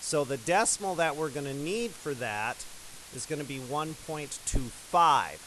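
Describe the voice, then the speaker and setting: A man with a plain, everyday voice, fairly high pitch, moderate pace and ordinary pitch variation. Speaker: math teacher. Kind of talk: tutorial.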